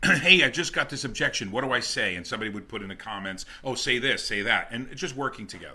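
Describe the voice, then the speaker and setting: The tone is bright and sharp. The speaker has a New Jersey accent. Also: man. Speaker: network marketing top earner. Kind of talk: interview.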